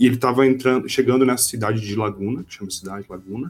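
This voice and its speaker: A man with a medium pitch talks while music plays in the background. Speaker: podcast host, teacher. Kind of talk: casual chat.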